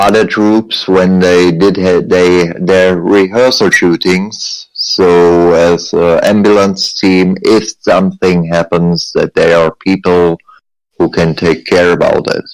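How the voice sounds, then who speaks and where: A man with a German accent and a very deep, low pitch, very slow, with very even loudness and monotone, flat intonation. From Germany. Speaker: military veteran, sniper and paramedic. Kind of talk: interview testimony. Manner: halting.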